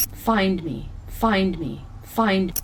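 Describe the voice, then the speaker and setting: A female-sounding voice in a put-on character voice speaks at a medium pitch, with clear background noise behind it. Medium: audio drama. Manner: halting, repetitive.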